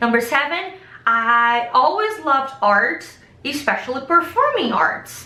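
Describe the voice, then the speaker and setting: A woman with a Brazilian Portuguese accent uses a raised, projected voice at a fairly slow pace. Audible room echo surrounds her. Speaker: vlogger. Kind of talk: casual chat.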